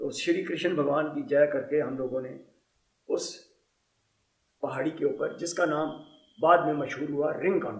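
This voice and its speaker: A man speaks with long, frequent pauses, and room echo can be heard. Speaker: war veteran. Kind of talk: testimony.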